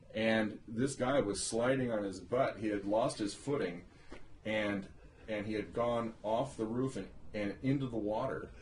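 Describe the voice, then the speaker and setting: With a plain, everyday voice, a man speaks fairly slowly at a medium pitch and with fairly even intonation. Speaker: interviewer, son of the subject. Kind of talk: casual conversation, oral history interview.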